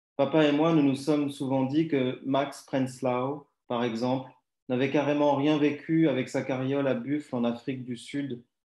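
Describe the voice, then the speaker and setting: Against a quiet background, the voice has a dark, mellow tone and flat, monotone intonation, moving at a fairly slow pace with audible room echo. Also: man. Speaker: writer; poetry reader. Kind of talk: reading aloud. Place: home room. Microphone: too quiet; video call.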